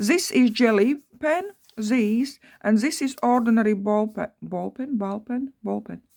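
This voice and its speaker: The woman's tone is dark and mellow, somewhat breathy. She speaks at a fairly slow pace with ordinary pitch variation. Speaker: craft youtuber. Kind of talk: craft tutorial. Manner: halting; animated.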